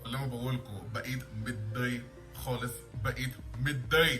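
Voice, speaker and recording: Over music in the background, a man speaks at a medium pitch with a non-native accent. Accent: non-native Egyptian Arabic. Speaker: Arabic language learner. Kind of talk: casual talk to camera. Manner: nervous, hesitant.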